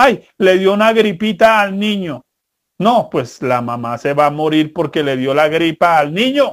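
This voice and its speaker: The speaker talks at a fairly slow pace. The pitch swings very widely. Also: man, high pitch for a man. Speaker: preacher. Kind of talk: sermon. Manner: didactic, earnest, direct address to parents; colloquial, conversational with humorous anecdotes.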